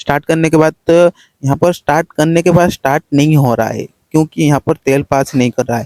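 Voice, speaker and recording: A man speaks at a fairly high pitch. The sound is dry and close with no echo. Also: fairly even intonation. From Odisha, India. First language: Odia (speaking Hindi). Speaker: shrimp farmer, vlogger. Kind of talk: casual how-to vlog. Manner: halting, many fillers.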